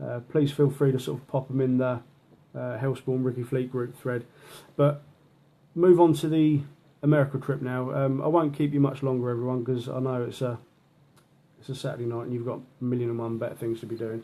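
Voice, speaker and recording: With a London accent, a man at medium pitch talks at a fairly quick pace with fairly even intonation and long, frequent pauses. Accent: Mockney, London-style English. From southern England, London/Portsmouth mix. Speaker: horror author. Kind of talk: casual live video chat. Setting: live video to an online group.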